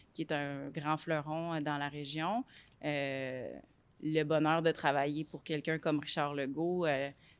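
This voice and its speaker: In a very clean recording with a silent background, a woman speaks very slowly in a very deep, low pitch with monotone, flat intonation. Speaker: business executive. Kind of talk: interview. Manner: loud; hesitant, many fillers.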